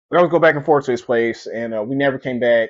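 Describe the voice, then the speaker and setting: A man talks at a very fast pace, his medium pitch showing ordinary variation. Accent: East Texas. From East Texas (Mount Pleasant). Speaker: podcast host. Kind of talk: personal storytelling. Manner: halting, repetitive.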